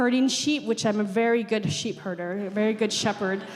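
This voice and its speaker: The woman's voice sits at a fairly high pitch. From Navajo Nation, Arizona. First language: Navajo. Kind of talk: panel discussion. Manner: halting, many repetitions and fillers.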